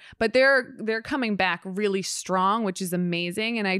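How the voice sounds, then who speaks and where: With an American accent, a woman with a plain, everyday voice speaks at a fairly slow pace with lively intonation, the recording very clean with a silent background and a dry, close sound with no echo. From Hoboken, New Jersey. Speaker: podcast co-host, daughter of co-host. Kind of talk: casual interview chat.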